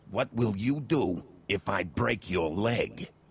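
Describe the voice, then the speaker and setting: Growling in a put-on character voice, a man speaks fairly slowly at a fairly low pitch with very wide pitch swings. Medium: video game. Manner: gruff, curt.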